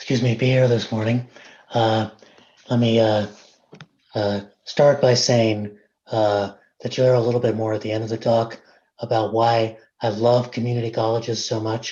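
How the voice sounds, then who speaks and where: A man's somewhat breathy, dark, mellow voice at medium pitch, monotone and flat, at a moderate pace with long, frequent pauses. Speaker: invited speaker, academic. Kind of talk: presentation to a board meeting. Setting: video call.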